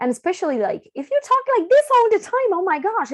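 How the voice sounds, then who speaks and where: A squeaky, put-on character voice at a fairly quick pace, full of very wide pitch swings. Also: woman, extremely high pitch for a woman. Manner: panicky, over-excited.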